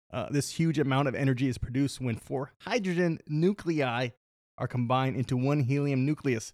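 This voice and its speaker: A man with a plain, everyday voice talks at a fairly quick pace. His pitch is fairly high, with ordinary pitch variation. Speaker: podcast co-host. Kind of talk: casual chat.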